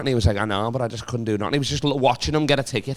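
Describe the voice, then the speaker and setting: A man talks at a very fast pace in a Liverpool accent. His pitch varies in an ordinary way. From Liverpool, England. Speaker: comedian. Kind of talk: casual chat.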